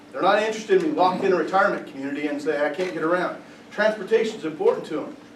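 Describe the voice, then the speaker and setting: He speaks in a high voice for a man, with audible echo from the room and noticeable noise behind him. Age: younger than 70. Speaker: political candidate. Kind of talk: candidate forum Q&A.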